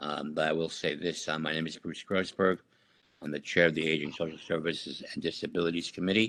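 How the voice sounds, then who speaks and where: Very deep and low in pitch, a man talks at a fairly quick pace. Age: 60s. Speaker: committee chair. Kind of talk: community meeting. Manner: halting.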